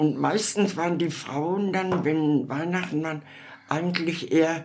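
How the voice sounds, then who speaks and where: A woman's fairly low pitch amid noticeable background noise and audible room echo. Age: 80s+. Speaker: elderly interviewee. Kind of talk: interview. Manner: halting.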